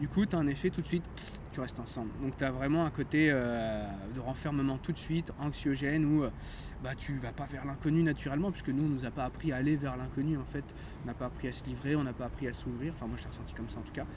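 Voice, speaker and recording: A man with a fairly high pitch talks at a very fast pace. His intonation stays fairly even. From France. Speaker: chemist retraining as music therapist. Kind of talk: casual chat. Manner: hesitant, many fillers.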